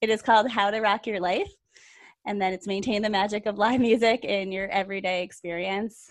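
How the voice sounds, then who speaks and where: Against a quiet background, a woman speaks at medium pitch in a flat monotone. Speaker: podcast co-host, health coach. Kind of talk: casual chat.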